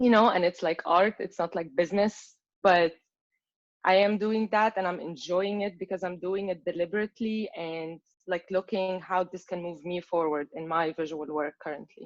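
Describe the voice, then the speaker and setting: At a moderate pace, a woman talks at a medium pitch with fairly even intonation, the sound dry and close with no echo. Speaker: artist and translator. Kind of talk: Q&A discussion after reading. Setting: video call. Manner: hesitant, filler-heavy.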